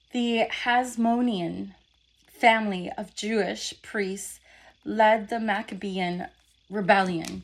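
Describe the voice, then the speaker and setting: A woman speaks at a very slow pace with a fairly high pitch and fairly even intonation. The recording is very clean, with a silent background. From raised in an English-speaking country from early on. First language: not English. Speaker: wellness consultant and video host. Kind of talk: reading aloud; casual talk to camera. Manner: halting, stumbles over pronunciation.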